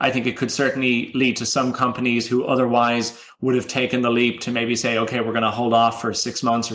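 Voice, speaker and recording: With an Irish accent and a medium-pitched voice, a man talks at a fairly quick pace. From Ireland. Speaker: campaign pilot program manager. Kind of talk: interview.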